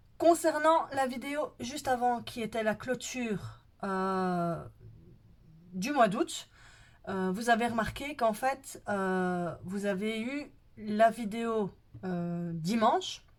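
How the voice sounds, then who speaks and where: Speaking at a very slow pace, a woman leaves long, frequent pauses. Her fairly high voice has lively intonation. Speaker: budget planning vlogger. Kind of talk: casual vlog talk to viewers. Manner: hesitant, many fillers.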